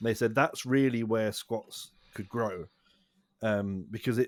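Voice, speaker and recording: A man with a British accent speaks at a moderate pace in a fairly low voice, recorded dry and close with no echo. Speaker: podcast co-host. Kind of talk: casual chat. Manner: soothing.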